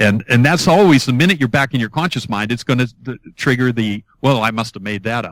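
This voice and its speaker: Lively intonation marks a man's unremarkable speaking voice at a medium pitch, heard as a dry, close sound with no echo on a very clean recording with a silent background. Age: 60s. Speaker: author and hypnotist. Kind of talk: interview.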